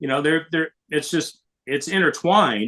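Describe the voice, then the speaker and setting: A man speaks at a moderate pace and a fairly high pitch, with ordinary pitch variation. His tone is bright and sharp, and the sound is dry and close with no echo. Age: 60s. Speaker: baseball radio broadcaster. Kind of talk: podcast interview.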